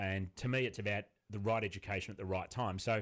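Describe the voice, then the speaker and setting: With an Australian accent, a man talks at a very fast pace in a fairly low voice with ordinary pitch variation, recorded very cleanly against a silent background. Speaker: author and business owner. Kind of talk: interview.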